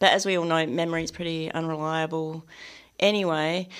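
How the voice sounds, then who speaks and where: A woman speaks in a fairly low voice with an Australian accent. Her intonation is flat and monotone, and the recording is very clean with a silent background. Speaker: novelist and poet. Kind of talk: radio interview.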